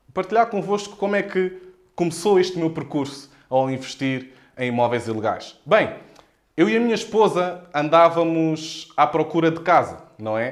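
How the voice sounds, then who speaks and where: A man speaks in a Lisbon accent at a high pitch. His intonation is lively and his pace moderate. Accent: European Portuguese, Lisbon. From Portugal, Lisbon area (Odivelas). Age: 20s. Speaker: real estate investor and mentor. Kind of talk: live stream talk. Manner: animated.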